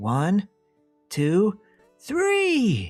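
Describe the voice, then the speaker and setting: Put-on character voice at a middle pitch, faint music in the background. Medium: read story.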